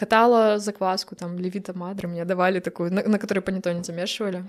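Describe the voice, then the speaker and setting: This woman's pitch is medium. She speaks with flat, monotone intonation. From Belarus, Brest. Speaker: pastry chef and baker. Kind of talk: casual interview.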